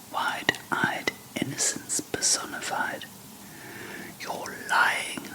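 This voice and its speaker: Someone whispers at a very slow pace, with long, frequent pauses, over noticeable background noise. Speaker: ASMR whisper reader. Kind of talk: whispered narration with dialogue. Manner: whispered, relaxing.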